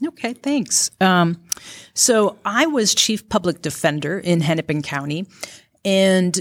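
Speaking at a fairly slow pace, a woman has an Upper Midwest accent and ordinary pitch variation. The recording is very clean, with a silent background. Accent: Upper Midwest (Minnesota). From rural Minnesota. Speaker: county attorney, former public defender. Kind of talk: interview before live audience. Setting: stage with live audience.

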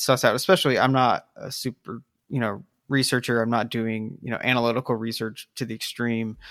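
A man with a Midwestern US accent speaks at a fairly quick pace and a medium pitch. The recording is very clean with a silent background and a dry, close sound with no echo. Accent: US Midwest. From South Bend, Indiana. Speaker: writer of an article series. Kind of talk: casual chat. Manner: halting.

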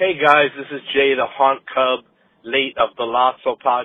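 This man's voice sits at a fairly high pitch, with ordinary pitch variation. He talks at a moderate pace. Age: middle-aged. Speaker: listener leaving a voicemail, former podcaster. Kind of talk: voicemail message. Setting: phone voicemail.

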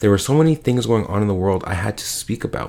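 A man talks at a fairly low pitch. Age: 20s. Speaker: podcast host. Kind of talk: solo podcast monologue. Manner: casual, filler-heavy.

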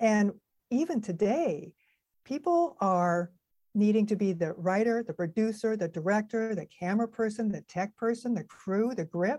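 In a very clean recording with a silent background, a woman with a dark, mellow tone and fairly high pitch speaks at a moderate pace with lively intonation. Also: dry, close sound with no echo. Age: 60s. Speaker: actress and video coach. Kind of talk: casual chat.

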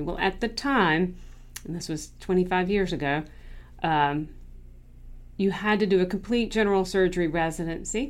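At a moderate pace, a woman talks in an unremarkable speaking voice, medium in pitch with ordinary pitch variation. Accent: American. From North Carolina. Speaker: dermatologist. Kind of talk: solo podcast monologue.

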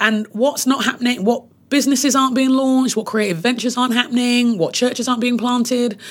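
A woman speaks in a somewhat breathy voice. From UK. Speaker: leadership trainer and author. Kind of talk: interview.

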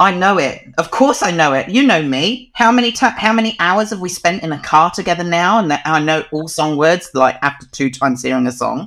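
High-pitched and bright, sharp in tone, a man speaks with lively intonation and hardly any pauses. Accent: New Zealand. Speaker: dog photographer. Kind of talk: interview.

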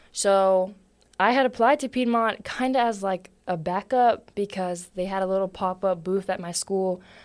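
A woman's ordinary speaking voice at a medium pitch, with ordinary pitch variation and a moderate pace, in a very clean recording with a silent background. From Philadelphia, US. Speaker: college track athlete. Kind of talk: podcast interview.

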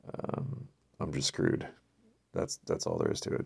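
A man speaks quietly. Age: 50s. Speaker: solo podcast host. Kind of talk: casual monologue. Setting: recording alone late at night. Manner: quiet, low volume.

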